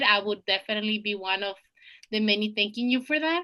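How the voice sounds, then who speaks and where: A woman's bright, sharp voice at a fairly quick pace. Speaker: student presenter. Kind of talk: presentation over slides. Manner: fast.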